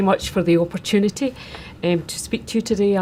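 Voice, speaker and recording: A woman with a Scottish accent talks fairly quickly at a medium pitch, her intonation fairly even, over noticeable background noise. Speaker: witness giving testimony to a committee. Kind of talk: formal.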